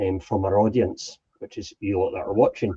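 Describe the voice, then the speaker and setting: A man in a Highland Scottish accent, dark and mellow in tone, at a fairly quick pace. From Scottish Highlands. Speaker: ceilidh host and wedding entertainer. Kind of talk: casual introduction chat.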